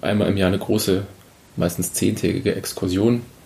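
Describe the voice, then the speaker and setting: A fairly quick-paced man with a fairly low pitch, against noticeable background noise. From Bavaria (Munich), with Spanish and East Frisian parents. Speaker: archaeology postdoc. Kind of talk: podcast interview.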